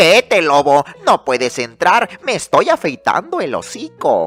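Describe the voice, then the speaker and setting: A woman shouting in a put-on character voice at medium pitch, fairly slow in pace, with faint music in the background. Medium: read story. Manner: shouting, rude.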